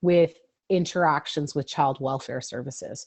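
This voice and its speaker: With a Canadian accent, a woman talks at a moderate pace with ordinary pitch variation in an unremarkable speaking voice. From Ontario, Canada. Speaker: lawyer and advocate. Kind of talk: webinar presentation.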